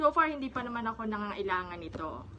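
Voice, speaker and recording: Noticeable background noise fills the clip. A woman talks at a fairly quick pace. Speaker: public school teacher and vlogger. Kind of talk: casual vlog show-and-tell. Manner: conversational with frequent fillers.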